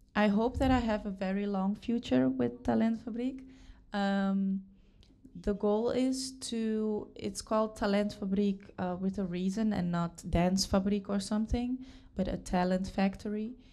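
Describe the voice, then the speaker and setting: Speaking fairly slowly with a Dutch accent, a woman uses a medium pitch, ordinary pitch variation and a dark, mellow tone. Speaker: dance school founder and teacher. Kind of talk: interview. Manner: hesitant, many fillers.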